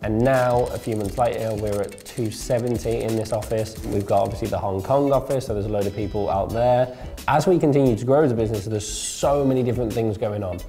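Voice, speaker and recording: Over faint music in the background, a man talks at a fairly quick pace. He has hardly any pauses and fairly even intonation. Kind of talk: interview answer. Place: office. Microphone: lapel.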